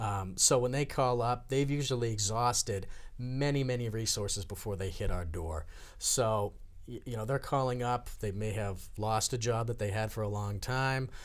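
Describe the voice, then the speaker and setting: Here is an unremarkable speaking voice at a moderate pace. Its pitch varies in an ordinary way. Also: man, medium pitch for a man. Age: 30s. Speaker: director of a senior employment program. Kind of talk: talk show interview.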